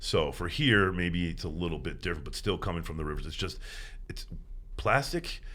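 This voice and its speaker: In a room with audible echo, a man talks at a fairly quick pace in an animated tone. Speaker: environmental activist, beach cleanup organizer. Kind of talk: podcast interview.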